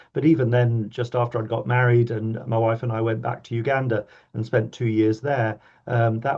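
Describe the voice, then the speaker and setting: A man with a British accent speaks in a somewhat breathy, medium-pitched voice with monotone, flat intonation. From Kenya (Mombasa). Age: 60s. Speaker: obstetrician and professor. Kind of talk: podcast interview. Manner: halting, many fillers and repetitions.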